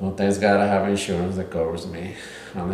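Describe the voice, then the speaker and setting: A man with a Spanish accent speaks in a very deep, low voice and a flat monotone over noticeable background noise. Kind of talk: casual conversation about therapy. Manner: shy, halting.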